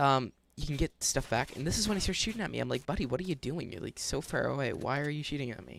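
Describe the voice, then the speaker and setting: A man talks at a very fast pace with a fairly high pitch. His intonation is lively, with vocal fry. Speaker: gaming YouTuber. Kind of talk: gameplay commentary. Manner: casual.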